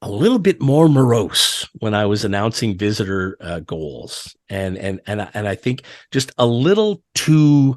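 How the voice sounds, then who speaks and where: A man with a plain, everyday voice, medium pitch and lively intonation, hardly pausing, against a quiet background. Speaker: arena public address announcer for a hockey team. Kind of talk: casual podcast interview answer.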